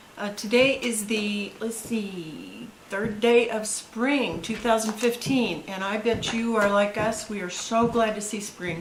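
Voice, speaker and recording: Amid noticeable background noise, a woman speaks at a fairly high pitch with fairly even intonation. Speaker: grandmother reading to grandchildren. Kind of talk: casual talk to camera.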